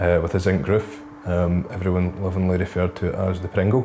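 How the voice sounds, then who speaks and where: A man with a very deep, low pitch speaks at a moderate pace as faint music plays in the background. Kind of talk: interview answer. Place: meeting room. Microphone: lapel.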